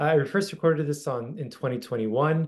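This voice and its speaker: A man's pitch varies in an ordinary way while the background stays quiet. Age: 40s. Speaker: religious teacher. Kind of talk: lecture. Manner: casual with frequent fillers. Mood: warm, reflective.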